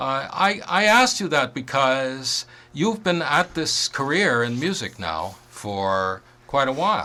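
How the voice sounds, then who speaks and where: A man speaks very slowly in a bright, sharp tone, his fairly high pitch swinging very widely. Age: 60s. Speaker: radio host. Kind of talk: radio interview. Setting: radio studio.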